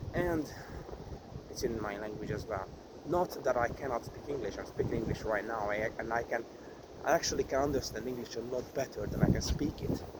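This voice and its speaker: A man's medium-pitched voice in a Hungarian accent, fairly quick with ordinary pitch variation, over noticeable background noise. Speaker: vlogger. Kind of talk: vlog monologue. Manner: halting.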